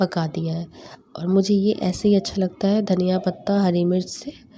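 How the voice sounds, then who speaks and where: A woman speaks in a dark, mellow tone with flat, monotone intonation. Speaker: home vlogger. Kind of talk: vlog voice-over. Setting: at home, family present. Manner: subdued, quiet.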